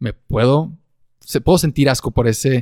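The voice has a dark, mellow tone and a northern Mexican accent, with ordinary pitch variation at a fairly slow pace. The sound is dry and close with no echo. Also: man. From northern Mexico. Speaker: podcast co-host and editor. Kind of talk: casual chat.

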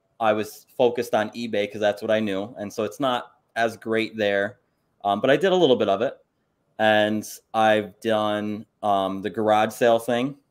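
A man with a fairly low pitch speaks at a moderate pace with fairly even intonation. His is an unremarkable speaking voice, on a very clean recording with a silent background. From US Northeast, upstate New York. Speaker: toy store owner and teacher. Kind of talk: casual interview. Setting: live stream.

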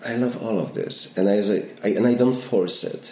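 With a Polish accent, a man speaks at a fairly slow pace, and room echo is audible. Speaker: actor and acting teacher. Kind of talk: interview.

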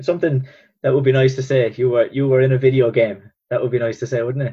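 The voice is somewhat breathy, with an Irish accent. It moves at a very fast pace. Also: man. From Ireland. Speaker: podcast host. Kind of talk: interview. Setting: video call.

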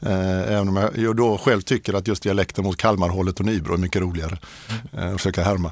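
Fairly even in intonation, the speech moves at a very fast pace. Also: man, very deep, low pitch for a man. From Småland, Sweden (Hovmantorp, Kronoberg). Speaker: business executive. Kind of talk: interview. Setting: studio.

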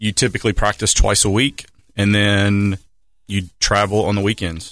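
A man's fairly low, monotone voice with flat intonation, in a very clean recording with a silent background. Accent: American. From Kentucky, Owensboro. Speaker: college volleyball coach. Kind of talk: radio interview.

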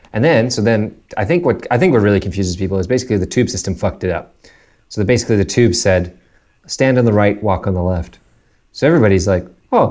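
Talking at a very fast pace, a man with a North American accent uses a fairly low voice. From South Africa. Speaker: podcast host. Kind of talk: casual chat. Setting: video call.

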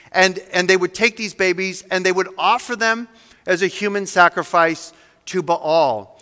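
This man uses a raised, projected voice at a high pitch. He goes at a fairly slow pace with ordinary pitch variation. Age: 40s. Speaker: pastor. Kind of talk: sermon.

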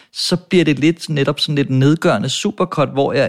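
A man with vocal fry speaks at a moderate pace in a dry, close sound with no echo. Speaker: podcast host. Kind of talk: casual banter.

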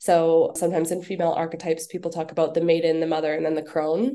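The speaker is a woman with a fairly low pitch and a dark, mellow tone. She talks at a very fast pace. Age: 20s. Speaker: personal development coach. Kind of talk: casual interview chat.

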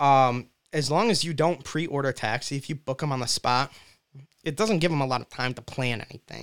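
Using an ordinary speaking voice, a man in an American accent speaks at a fairly quick pace with a fairly high pitch and ordinary pitch variation. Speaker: husband of a Ukrainian refugee's daughter. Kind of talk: casual interview. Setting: studio.

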